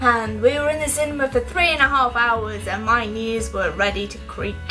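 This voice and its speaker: A woman speaks as faint music plays in the background. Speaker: film discussion host. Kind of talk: casual talk to camera. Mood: relaxed, chatty. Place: home room. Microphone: webcam.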